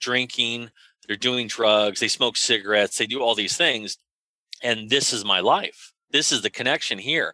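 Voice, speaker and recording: Bright and sharp in tone, a man with an American accent speaks at a moderate pace in a dry, close recording with no echo, very clean against a silent background. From US West Coast, North San Diego County. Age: 40s. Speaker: prevention coalition leader and health policy advocate. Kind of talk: interview conversation. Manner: conversational, with filler hesitations.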